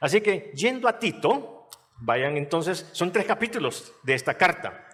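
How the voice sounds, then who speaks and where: Lively intonation marks this man's high voice. He speaks at a fairly slow pace. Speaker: pastor. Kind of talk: sermon.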